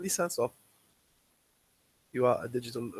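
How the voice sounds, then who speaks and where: The man's voice sits at a medium pitch and is somewhat breathy. The sound is dry and close, with no echo. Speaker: lecturer. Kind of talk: lecture. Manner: halting, many fillers.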